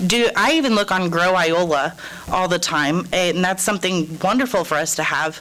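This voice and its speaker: Over noticeable background noise, a woman with a Midwestern American accent talks at a moderate pace, at medium pitch with ordinary pitch variation. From Kansas, Topeka. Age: 30s. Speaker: resident speaking at public comment. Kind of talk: public comment at council meeting. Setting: city council meeting.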